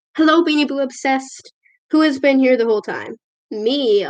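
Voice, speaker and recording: High in pitch, this woman's voice shows ordinary pitch variation. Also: moderate pace. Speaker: video creator doing a live stream. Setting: recorded on a tablet. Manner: energetic.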